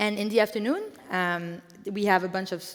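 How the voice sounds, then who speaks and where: A woman with a French accent speaks at a moderate pace. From France. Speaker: event co-founder. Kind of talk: conference welcome speech. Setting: stage with audience. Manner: halting, with fillers.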